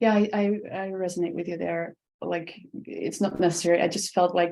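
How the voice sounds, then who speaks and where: A woman's fairly low, dark and mellow voice in a Dutch accent, monotone and flat, at a fairly quick pace. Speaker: podcast host. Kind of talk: interview. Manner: halting.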